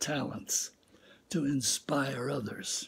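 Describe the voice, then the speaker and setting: A somewhat breathy man at a very slow pace. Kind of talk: inspirational talk and reading. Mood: earnest, calm, reflective. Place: home room. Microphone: phone near.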